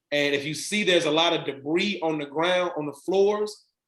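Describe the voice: A man speaks at a moderate pace in a fairly high, fairly bright voice with ordinary pitch variation, and the room echo is audible.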